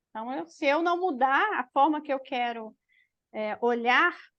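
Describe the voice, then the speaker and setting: Against a quiet background, a woman speaks very slowly in a high voice with lively intonation. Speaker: teacher. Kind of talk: online class.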